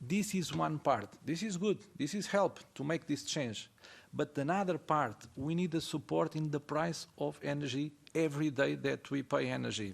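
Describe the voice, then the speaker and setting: A man with a non-native accent talks at a moderate pace, his fairly high pitch showing ordinary variation. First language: not English. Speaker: ceramic industry representative. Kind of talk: panel discussion. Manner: halting.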